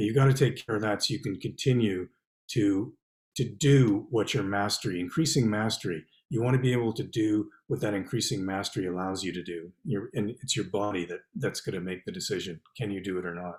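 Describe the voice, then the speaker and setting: A somewhat breathy, fairly low male voice with a Canadian accent and ordinary pitch variation. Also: fairly quick pace. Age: 60s. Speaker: poet and novelist. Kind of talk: interview.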